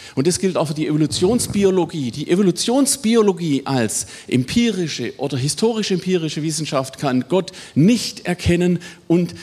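A man at a moderate pace, fairly high in pitch, with very wide pitch swings. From Swabia, southwestern Germany. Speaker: biology professor. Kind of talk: lecture.

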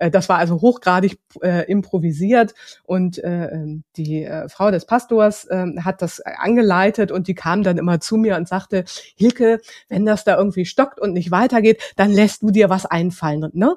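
In an unremarkable speaking voice, a woman talks at a moderate pace with medium pitch and ordinary pitch variation. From Hamburg, northern Germany. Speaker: social business consultant, founder. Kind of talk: interview. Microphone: new podcast equipment.

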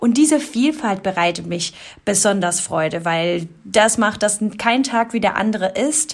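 The recording is very clean, with a silent background, as a woman of medium pitch talks in an ordinary speaking voice with lively intonation. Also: fairly slow pace. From Colombia. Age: 20s. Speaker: insurance specialist. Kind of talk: casual interview.

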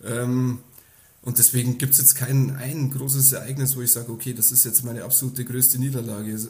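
A man talks at a fairly quick pace in a medium pitch, his somewhat breathy, dark, mellow voice flat and monotone. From Upper Palatinate, Bavaria (Kümmersbruck near Amberg). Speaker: professional nine-pin bowler. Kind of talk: interview.

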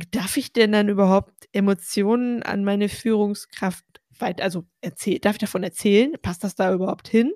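A woman with an unremarkable speaking voice and medium pitch, at a moderate pace, in a dry, close sound with no echo. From Ostwestfalen, Germany. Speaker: podcast host. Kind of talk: casual chat.

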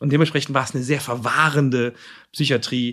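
This man has an unremarkable speaking voice, pitched in the medium range, with fairly even intonation. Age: 50s. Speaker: psychiatric nursing director. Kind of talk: casual chat. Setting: meeting room in a clinic.

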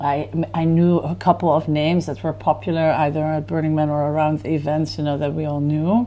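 A woman's very deep, low voice with a Dutch accent, fairly quick and with hardly any pauses, over noticeable background noise. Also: ordinary pitch variation. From Netherlands, village near Amsterdam. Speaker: festival founder. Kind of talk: casual chat. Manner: halting.

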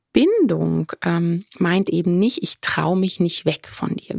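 A woman speaks at a very slow pace, the sound dry and close with no echo. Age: 40s. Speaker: veterinarian and dog trainer, podcast host. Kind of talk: solo podcast talk. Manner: casual with frequent filler sounds.

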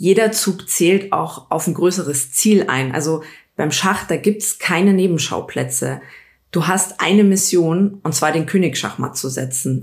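Speaking fairly slowly with vocal fry, a woman keeps a fairly low pitch and ordinary pitch variation. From Bavaria, Munich area. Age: 30s. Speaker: politician. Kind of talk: casual interview.

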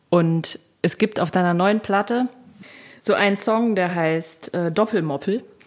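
A woman talks in a plain, everyday voice at a medium pitch and a fairly slow pace, with ordinary pitch variation. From Thuringia, eastern Germany. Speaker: podcast host, singer-songwriter. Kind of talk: interview chat.

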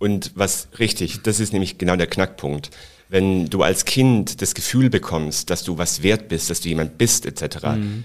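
Here is an unremarkable speaking voice, a man with a fairly low pitch. His pace is fairly slow and his pitch variation ordinary. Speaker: flight attendant. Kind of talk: casual interview.

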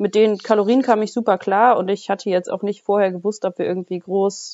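A woman of medium pitch has an ordinary speaking voice with ordinary pitch variation. She talks at a fairly quick pace. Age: 20s. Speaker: bodybuilder. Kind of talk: casual interview.

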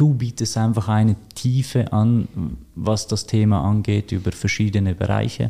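Moderately paced speech from a man, medium in pitch, with ordinary pitch variation. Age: 30s. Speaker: financial advisor. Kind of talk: interview. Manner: hesitant, many filler sounds.

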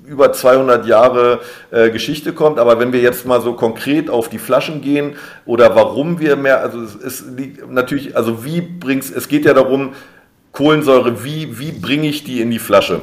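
A man speaks at a moderate pace with a medium pitch. He has an unremarkable speaking voice. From Berlin, Germany. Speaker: drinks brand ambassador, former bartender. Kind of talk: interview.

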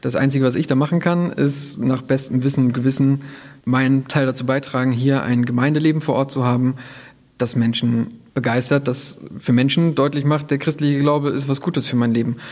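Using a plain, everyday voice, a man talks at a fairly quick pace and medium pitch, keeping very even loudness and fairly even intonation. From northern Germany, near Bremen. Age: 30s. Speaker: protestant pastor. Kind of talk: interview.

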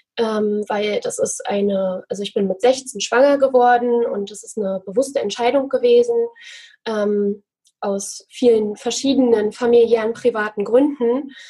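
A woman speaks at a fairly slow pace in a dark, mellow tone, her fairly high voice holding a fairly even intonation. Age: 20s. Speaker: financial coach. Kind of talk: interview.

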